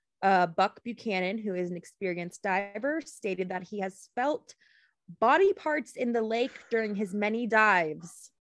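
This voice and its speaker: Her voice is an unremarkable speaking voice, as this woman talks at medium pitch and a moderate pace with ordinary pitch variation. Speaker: podcast host. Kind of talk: casual chat, true crime storytelling. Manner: joking, playful.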